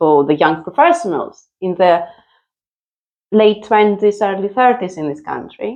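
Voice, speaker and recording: A woman speaks with a Greek accent. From Greece. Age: 50s. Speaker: mother. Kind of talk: interview. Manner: loud; animated.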